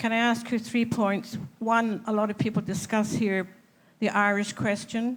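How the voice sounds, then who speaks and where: A woman's fairly high, monotone voice with a Scottish accent, flat intonation, very even loudness, a fairly slow pace and audible room echo. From Scotland. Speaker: audience member. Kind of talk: audience question. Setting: conference hall with audience. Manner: halting.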